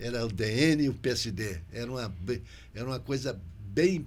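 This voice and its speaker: Audible room echo around a man's medium-pitched speech, delivered fairly slowly. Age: 80s+. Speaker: podcast host. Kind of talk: interview podcast conversation. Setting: local TV studio.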